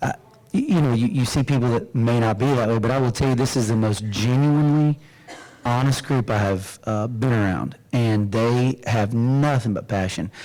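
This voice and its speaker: There is noticeable background noise as a man speaks with a Southern US accent. His loudness is very even, with ordinary pitch variation. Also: medium pitch for a man, moderate pace. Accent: Southern twang. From Florida Panhandle. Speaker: realtor association executive. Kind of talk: interview.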